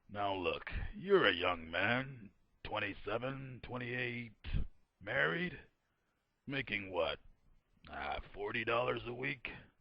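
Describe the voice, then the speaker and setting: A man puts on a raspy character voice at a medium pitch, with lively intonation. He goes at a fairly slow pace and takes long, frequent pauses. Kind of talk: 1940s radio acting. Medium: audio drama. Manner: patronizing, silky.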